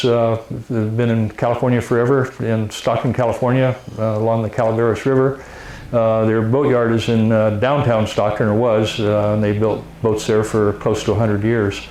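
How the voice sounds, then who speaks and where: A man speaks at a medium pitch in a monotone, flat intonation, with hardly any pauses, very even loudness, and noticeable background noise. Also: moderate pace. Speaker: interviewer. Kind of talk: casual interview talk.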